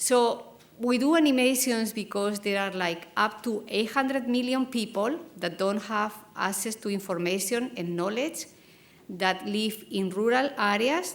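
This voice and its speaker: A woman with a Spanish accent speaks at a fairly slow pace with ordinary pitch variation, and room echo can be heard. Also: fairly high pitch for a woman. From Spain. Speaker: academic program co-founder. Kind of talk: conference presentation.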